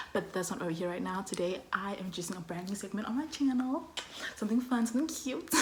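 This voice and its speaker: Over noticeable background noise and audible room echo, a woman with a medium pitch talks at a very fast pace with lively intonation. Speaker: student vlogger. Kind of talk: casual vlog talk. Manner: loud, energetic.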